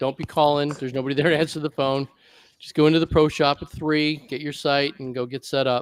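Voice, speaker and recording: The sound is dry and close with no echo as a man speaks at a fairly high pitch. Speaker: airsoft podcast host. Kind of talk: casual group chat on video call. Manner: halting, self-described stuttering.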